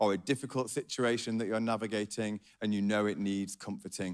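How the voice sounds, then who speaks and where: In a very clean recording with a silent background, a man talks with a Yorkshire accent. His pace is moderate and his intonation fairly even. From Yorkshire, northern England. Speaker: pastor. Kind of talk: sermon.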